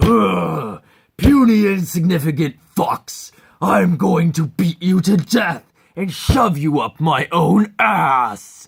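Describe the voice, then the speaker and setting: A raspy, put-on character voice at a middle pitch. The pace is very slow. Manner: yelling, threatening.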